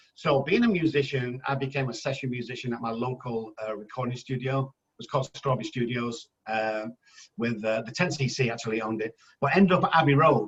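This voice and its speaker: A man speaks at a fairly quick pace in an English accent, his voice medium in pitch. The pitch varies in an ordinary way, and the sound is somewhat breathy. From England. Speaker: addiction specialist. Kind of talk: podcast interview. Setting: phone call. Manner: animated.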